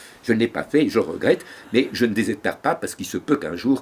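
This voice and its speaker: A man talks at a moderate pace and a medium pitch. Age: 80s+. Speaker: storyteller. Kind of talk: interview. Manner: halting.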